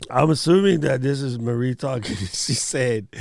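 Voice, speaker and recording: A man's normal speaking voice, fairly high in pitch, at a fairly slow pace with ordinary pitch variation. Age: 50s. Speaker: live stream co-host. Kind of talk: casual chat. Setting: live stream.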